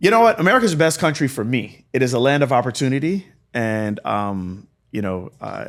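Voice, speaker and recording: A man at a medium pitch, speaking at a fairly quick pace with very wide swings in pitch. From South Florida, born in Jamaica. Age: 40s. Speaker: healthcare business founder and former physical therapist. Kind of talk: podcast interview.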